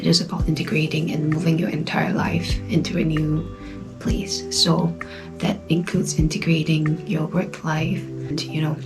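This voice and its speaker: Soft-spoken, a woman talks at a moderate pace with music in the background. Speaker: travel vlogger. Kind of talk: casual talk to camera. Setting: indoors, own room.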